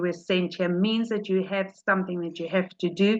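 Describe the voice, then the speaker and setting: With a South African accent, a woman speaks at a moderate pace. Her medium pitch shows ordinary variation. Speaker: rebbetzin, religious teacher. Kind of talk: religious talk. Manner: informal, conversational.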